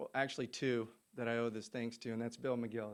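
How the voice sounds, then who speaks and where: A man speaks very fast with an American accent on a very clean recording with a silent background. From Southern California. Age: 40s. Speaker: golf coach and former tour professional. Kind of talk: press conference speech. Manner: halting, many fillers and restarts.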